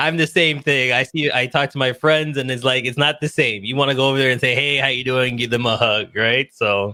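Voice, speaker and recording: Energetic in tone, a man at medium pitch speaks at a fairly quick pace with hardly any pauses. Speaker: podcast host. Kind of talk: interview. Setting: video call.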